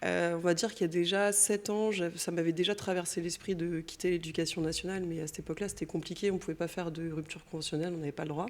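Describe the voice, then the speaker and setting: Very fast speech from a woman, fairly low in pitch with fairly even intonation, fills the clip. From Brittany, France. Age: 40s. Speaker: painter, former teacher. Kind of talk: interview, personal testimony. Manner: casual, hesitant with fillers.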